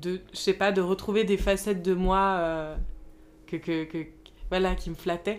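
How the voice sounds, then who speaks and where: On a very clean recording with a silent background, a woman at medium pitch speaks very slowly with fairly even intonation. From Paris, France. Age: 20s. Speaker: podcast guest. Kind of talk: casual chat. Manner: halting.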